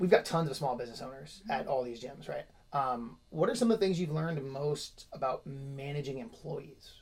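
Somewhat breathy and fairly high-pitched, a man speaks at a moderate pace with big swings in loudness. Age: 30s. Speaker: podcast host and gym owner. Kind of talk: casual interview.

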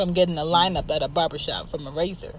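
A woman talks in an animated tone with ordinary pitch variation. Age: 30s. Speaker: podcast host. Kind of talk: opinionated solo monologue.

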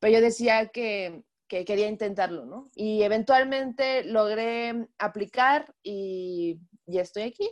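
The woman's voice sits at a medium pitch and varies in an ordinary way, set against a quiet background. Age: 20s. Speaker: race track marshal and illustrator. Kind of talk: interview. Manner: halting, many fillers.

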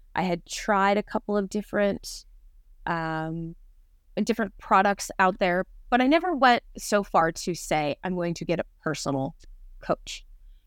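A woman with a normal speaking voice talks at a fairly slow pace, medium in pitch, with lively intonation. The very clean recording has a silent background and a dry, close sound with no echo. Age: 40s. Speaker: nutrition coaching client. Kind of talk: casual interview.

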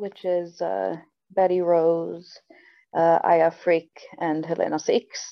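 A woman with an American accent. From New Jersey. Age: 20s. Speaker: professional wrestler. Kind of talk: interview.

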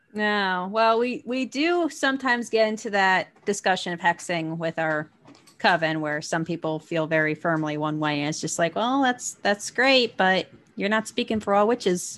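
A woman with a New Jersey accent, lively intonation and a moderate pace, on a very clean recording against a silent background. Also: medium pitch for a woman. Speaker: podcast co-host. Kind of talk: casual chat.

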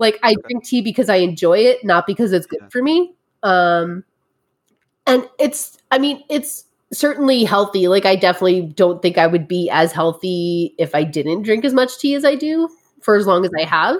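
A woman at medium pitch and a moderate pace, with very wide pitch swings. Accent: New York. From New Jersey. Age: 30s. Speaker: tea educator. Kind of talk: interview.

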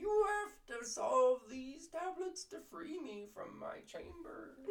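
An extremely high, put-on character voice swings very widely in pitch. It moves at a fairly slow pace.

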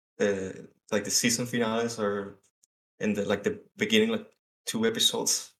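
A man's medium-pitched voice in a Spanish accent, at a moderate pace with fairly even intonation. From South America. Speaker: digital artist. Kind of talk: casual chat. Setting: remote call in an echoey room. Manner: halting.

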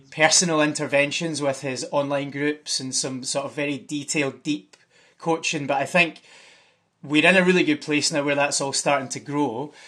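In a Glasgow accent, a man speaks with a bright, sharp tone and fairly high pitch, his intonation flat and monotone. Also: quiet background. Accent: Scottish (Glasgow). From Scotland. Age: 30s. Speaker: parkour coach and development manager. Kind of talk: casual interview.

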